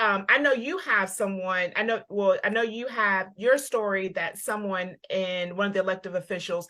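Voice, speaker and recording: A woman's bright, sharp voice at medium pitch, fairly slow, with ordinary pitch variation, on a very clean recording with a silent background. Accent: Southern US. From US South. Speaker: parent advocate co-hosting a livestream. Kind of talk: casual livestream discussion. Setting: Facebook live video.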